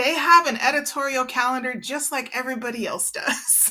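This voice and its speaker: A woman speaks at a moderate pace with a high pitch, a bright, sharp tone and ordinary pitch variation. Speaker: PR agency owner. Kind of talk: webinar presentation.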